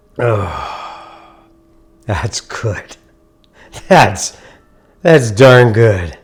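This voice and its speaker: A man with an American accent and ordinary pitch variation, music in the background. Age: 70s. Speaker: coffee roaster. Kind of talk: casual talk to camera.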